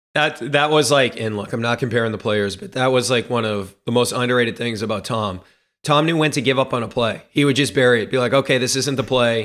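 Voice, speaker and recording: A very clean recording with a silent background: a male voice at medium pitch, very fast pace and ordinary pitch variation. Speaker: podcast host.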